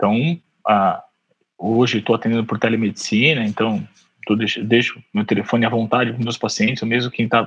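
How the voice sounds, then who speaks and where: One man talks at a fairly quick pace in an ordinary speaking voice. His pitch is medium and his intonation fairly even. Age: 40s. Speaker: orthopedic surgeon. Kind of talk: casual chat.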